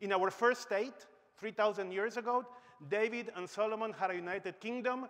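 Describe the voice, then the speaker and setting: This man's voice sits high in pitch and moves at a moderate pace. The pitch variation is ordinary, and the background is quiet. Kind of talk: conference speech. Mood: humorous then serious. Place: stage. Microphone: lapel.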